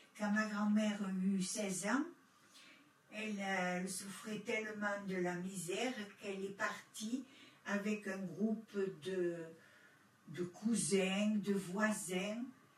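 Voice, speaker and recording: Amid noticeable background noise and audible room echo, a woman speaks very slowly at a medium pitch, pausing long and often. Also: fairly even intonation. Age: 70s. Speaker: witness, granddaughter of Italian immigrant. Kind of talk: testimony.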